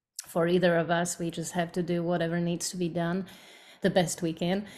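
A woman with a Slovak accent and a fairly low pitch speaks at a moderate pace on a very clean recording with a silent background. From Slovakia. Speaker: bluegrass singer. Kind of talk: casual interview.

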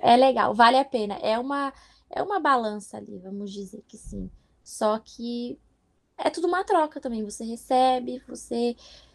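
Loudness swings widely and the intonation is lively. The pace stays moderate. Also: woman, high pitch for a woman. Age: 20s. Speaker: au pair. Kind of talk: interview. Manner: animated.

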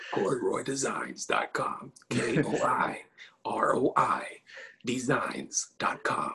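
In a put-on character voice, the speaker sounds raspy and talks at a very slow pace. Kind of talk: announcer voice.

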